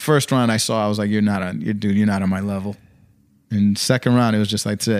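Talking at a very fast pace with fairly even intonation, a man with a fairly low pitch comes through in a very clean recording with a silent background. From Brooklyn, New York. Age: 30s. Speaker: professional boxer and barber. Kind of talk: casual chat.

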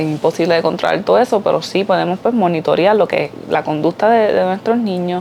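A woman's fairly low voice, with ordinary pitch variation, holds a moderate pace while noticeable background noise sounds behind her. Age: 20s. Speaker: podcaster, mother and mental health worker. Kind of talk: personal opinion monologue.

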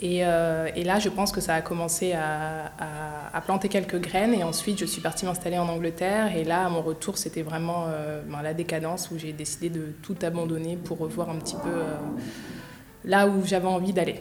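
A woman with a fairly low voice speaks at a moderate pace and in a fairly even tone, with noticeable background noise and audible room echo. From Paris suburbs, France. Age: 20s. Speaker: entrepreneur. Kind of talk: interview. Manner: hesitant.

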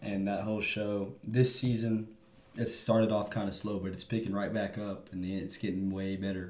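With an American accent, a man speaks at a moderate pace in a fairly low, monotone, flat voice, with audible room echo. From Texas. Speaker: sports podcast co-host. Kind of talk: casual chat.

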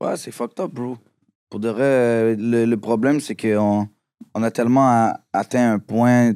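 A man's medium-pitched voice, dark and mellow in tone, with fairly even intonation and a fairly slow pace, dry and close with no echo, on a very clean recording with a silent background. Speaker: rapper. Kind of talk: casual chat.

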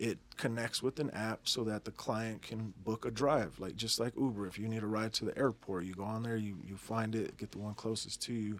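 Hardly pausing, a man with an American accent talks at a fairly quick pace with fairly even intonation. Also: medium pitch for a man. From Denver, Colorado. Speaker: tattoo business owner. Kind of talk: interview. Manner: casual, halting.

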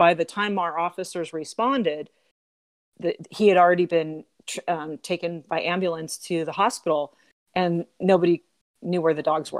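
Speaking at a moderate pace in a plain, everyday voice, a woman with an American accent has a fairly low pitch and fairly even intonation, with a dry, close sound with no echo. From Southern California. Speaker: animal protection officer. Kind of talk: casual interview.

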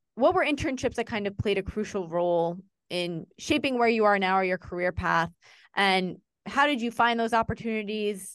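At a moderate pace, a woman with a plain, everyday voice speaks at medium pitch with lively intonation. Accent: American. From New Jersey. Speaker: university career center staff, podcast host. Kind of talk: casual interview.

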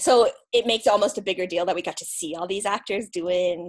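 A woman with a plain, everyday voice at medium pitch, speaking at a fairly quick pace over a quiet background. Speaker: podcast host guest. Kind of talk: casual chat.

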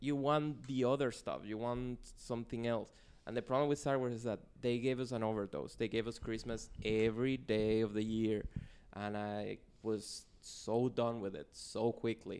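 With a Spanish accent, a man talks at a moderate pace and medium pitch, his intonation fairly even. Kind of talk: casual chat. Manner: joking.

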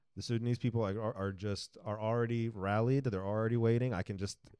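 In a dry, close sound with no echo over a quiet background, a man of medium pitch speaks at a very fast pace with monotone, flat intonation. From Sudan. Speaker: podcast host. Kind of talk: casual interview.

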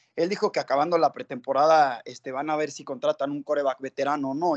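Delivered at a fairly quick pace, this is a plain, everyday voice. Its pitch varies in an ordinary way. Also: man. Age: 20s. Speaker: football fan. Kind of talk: casual chat.

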